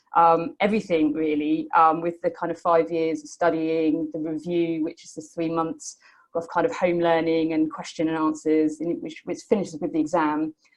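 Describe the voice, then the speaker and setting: Hardly pausing, a woman with a British accent and a fairly low pitch speaks in a monotone, flat intonation while her loudness swings widely. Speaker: Buddhist study programme graduate. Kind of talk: testimony. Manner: fast; hesitant with many fillers.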